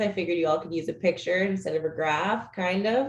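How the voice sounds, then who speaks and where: At a fairly quick pace, a woman talks in a medium pitch with an unremarkable speaking voice. Her pitch variation is ordinary. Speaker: policy staffer presenting legislative update. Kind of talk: webinar presentation.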